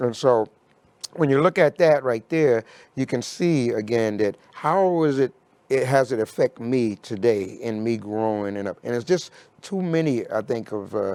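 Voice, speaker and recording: A man speaks at a moderate pace with lively intonation and a medium pitch, captured in a very clean recording with a silent background and a dry, close sound with no echo. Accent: American. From New York City (Harlem). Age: 60s. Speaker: recovery organization leader. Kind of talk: interview conversation. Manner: halting, many fillers.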